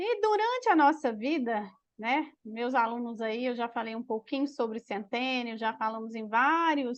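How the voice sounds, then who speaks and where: This woman talks high in pitch with ordinary pitch variation, and the background is quiet. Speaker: teacher. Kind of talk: online class.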